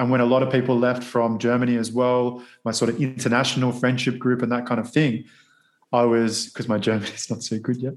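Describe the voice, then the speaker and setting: A man talks at a fairly quick pace in a monotone with flat intonation. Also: medium pitch for a man. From Australia. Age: 30s. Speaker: model and actor. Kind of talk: interview.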